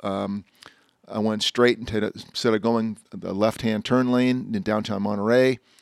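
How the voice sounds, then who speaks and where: A man speaks in a normal speaking voice at a medium pitch and a fairly slow pace. His intonation is fairly even, and the sound is dry and close with no echo. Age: 60s. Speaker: automotive columnist and podcast host. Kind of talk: casual chat. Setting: outdoors in a backyard.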